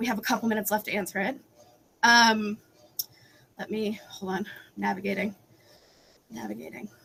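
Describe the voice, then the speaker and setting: This woman speaks at a fairly quick pace in a fairly high pitch, with vocal fry, a bright, sharp tone, big swings in loudness, and long, frequent pauses. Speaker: advocacy panelist. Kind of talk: panel discussion. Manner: fast; animated.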